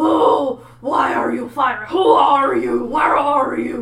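This is a put-on character voice at a very slow pace. A slight echo sits on the recording.

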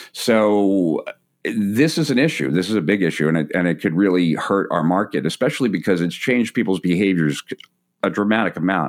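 A man talks at a fairly quick pace in a plain, everyday voice. His pitch is fairly low, his intonation lively and his loudness very even. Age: 40s. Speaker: entrepreneur and marketer. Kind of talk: casual interview. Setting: host's home.

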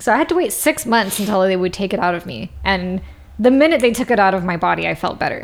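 Vocal fry runs through a woman's voice. She speaks very fast with lively intonation. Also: medium pitch for a woman. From Brazilian-Indian family background. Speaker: podcast guest. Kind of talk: casual chat. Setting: studio.

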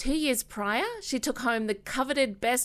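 Fairly quick speech in an Australian accent with ordinary pitch variation. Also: woman. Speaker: podcast host. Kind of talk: interview.

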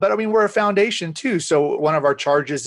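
A man talks at a fairly quick pace with ordinary pitch variation, the sound dry and close with no echo against a quiet background. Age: 40s. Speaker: nonprofit director and mental health advocate. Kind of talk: interview. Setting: video call.

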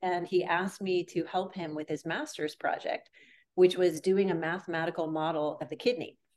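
The speaker uses a plain, everyday voice and moves at a fairly quick pace. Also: woman. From US Northeast, Boston area. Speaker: radiologist and clinical AI executive. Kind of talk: interview.

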